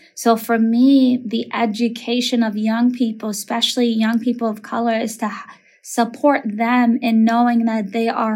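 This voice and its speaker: A woman with an American accent and a fairly high pitch, talking in a flat monotone with hardly any pauses. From Minneapolis, Minnesota (Somali family). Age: 30s. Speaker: elementary school principal. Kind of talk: interview conversation.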